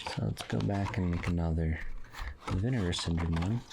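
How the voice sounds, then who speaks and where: Against noticeable background noise, a soft-spoken man with a very deep, low pitch talks at a moderate pace with lively intonation. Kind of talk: soft-spoken ASMR review. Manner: soft-spoken, casual.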